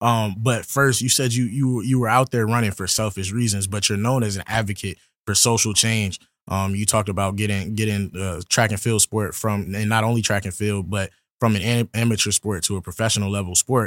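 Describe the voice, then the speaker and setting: Recorded dry and close with no echo, a man with an American accent and an unremarkable speaking voice talks at a fairly quick pace, his fairly low pitch held in fairly even intonation. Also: very clean recording, silent background. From Virginia. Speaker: student podcast host. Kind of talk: interview.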